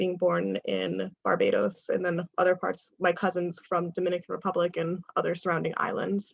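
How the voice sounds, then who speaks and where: This woman talks fairly quickly with vocal fry. Her pitch sits fairly low. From New York. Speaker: diversity facilitator. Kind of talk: workshop presentation.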